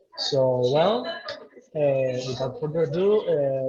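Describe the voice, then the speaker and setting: Speaking with a Spanish accent, a man uses a fairly high pitch. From Venezuela, Puerto Ordaz. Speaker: event host. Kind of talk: webinar introduction.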